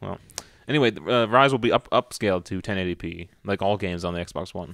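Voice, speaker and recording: A man with a very deep, low pitch talks at a fairly quick pace, his pitch varying in an ordinary way. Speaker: video game podcast host. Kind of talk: casual chat.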